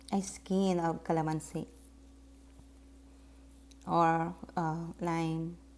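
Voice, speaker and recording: A woman with a non-native accent speaks at a very slow pace and a fairly low pitch, in a monotone, flat intonation with long, frequent pauses. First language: Tagalog. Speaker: soap maker. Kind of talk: tutorial voiceover.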